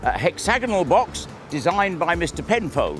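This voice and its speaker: A man is speaking. Music plays in the background. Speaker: town crier and walking tour guide. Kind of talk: guided walking tour narration, casual talk to camera.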